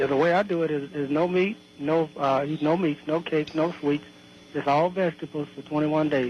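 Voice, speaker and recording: A man's fairly quick speech with fairly even intonation and very even loudness, plus noticeable background noise. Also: fairly high pitch for a man. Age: 60s. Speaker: caller. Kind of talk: casual chat.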